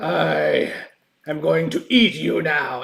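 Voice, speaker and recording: A booming, raspy put-on character voice from a man. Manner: menacing.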